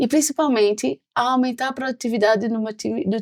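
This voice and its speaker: The speaker has a Pernambuco accent and lively intonation at a moderate pace. The sound is dry and close, with no echo. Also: woman. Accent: Pernambuco Brazilian Portuguese. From Pernambuco, Brazil. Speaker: sales executive. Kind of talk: podcast interview.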